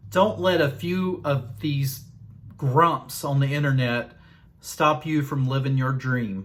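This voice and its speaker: Speaking in a Southern US accent, a man uses a fairly high, somewhat breathy voice with ordinary pitch variation at a very slow pace. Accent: Southern US drawl. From Southern Virginia. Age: 40s. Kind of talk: casual talk to camera.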